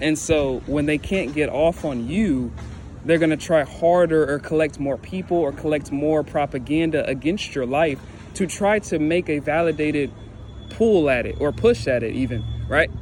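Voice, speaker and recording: A man's fairly high pitch with ordinary pitch variation, over noticeable background noise. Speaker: spiritual tarot reader. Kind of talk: collective energy reading monologue. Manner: fast.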